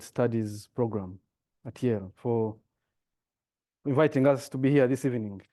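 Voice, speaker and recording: A man with an African accent speaks fairly slowly, his intonation fairly even. His tone is dark and mellow, and the background is quiet. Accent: deep African. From Rwanda (grew up in refugee camp nearby). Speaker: diplomat and former broadcasting executive. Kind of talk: public lecture. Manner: hesitant, many fillers.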